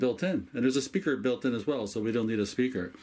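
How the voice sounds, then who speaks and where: This is a man speaking with ordinary pitch variation. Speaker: ham radio hobbyist. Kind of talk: tutorial show-and-tell. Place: home room.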